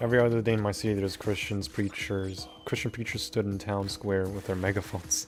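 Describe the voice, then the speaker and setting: Amid noticeable background noise, a man speaks at a moderate pace with fairly low pitch and fairly even intonation. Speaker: video game streamer. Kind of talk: casual chat while live streaming gameplay. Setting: live stream.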